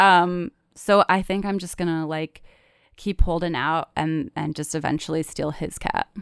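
In a very clean recording with a silent background and a dry, close sound with no echo, a woman with an American accent speaks in an ordinary speaking voice at a fairly slow pace. Her pitch is fairly low with ordinary pitch variation, and her loudness swings widely. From Michigan. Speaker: writer and comedian. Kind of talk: casual interview storytelling.

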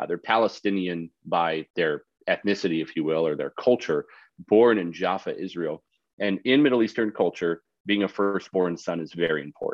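At a very deep, low pitch, a man talks at a moderate pace with ordinary pitch variation. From Canada. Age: 30s. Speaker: pastor. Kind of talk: casual chat.

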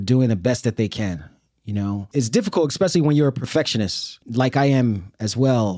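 A man with a New York accent talks at a moderate pace and medium pitch, with ordinary pitch variation and a dark, mellow tone. The sound is dry and close with no echo, in a very clean recording with a silent background. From Brooklyn, New York City. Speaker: army veteran and sociology professor. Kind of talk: interview. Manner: casual.

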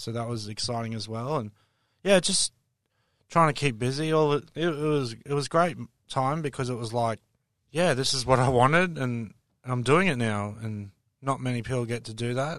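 A man with an Australian accent, medium-pitched, at a moderate pace, with ordinary pitch variation against a quiet background. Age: 30s. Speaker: stand-up comedian. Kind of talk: casual interview.

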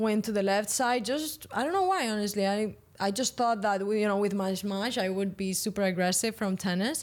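The recording is very clean, with a silent background. A woman with a Spanish accent speaks at a medium pitch and a moderate pace. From Spain, Valencia. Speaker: professional padel player. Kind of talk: interview.

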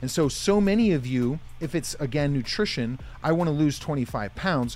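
A man with an American accent speaks in a fairly high voice with lively intonation while music plays in the background. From US, northeast Pennsylvania. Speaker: motivational speaker. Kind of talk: interview.

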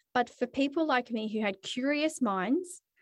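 A woman with an Australian accent and lively intonation, in a dry, close sound with no echo and a quiet background. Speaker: podcast host. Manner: chatty, animated.

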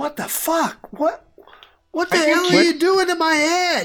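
A woman puts on a character voice at an extremely high pitch. She speaks fairly slowly in a monotone, flat intonation. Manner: yelling.

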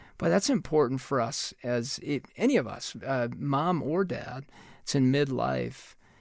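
Recorded very cleanly against a silent background, a man speaks in a plain, everyday voice at medium pitch. His pace is fairly slow and his intonation lively. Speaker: parenting expert and co-host.

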